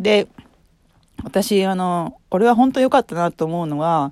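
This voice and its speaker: A woman's dark, mellow, medium-pitched voice with lively intonation at a fairly slow pace, dry and close with no echo. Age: 40s. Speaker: podcaster. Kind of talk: casual monologue. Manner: rambling, filler-heavy.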